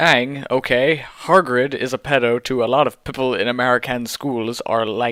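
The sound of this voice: Text is read out in an unforced voice.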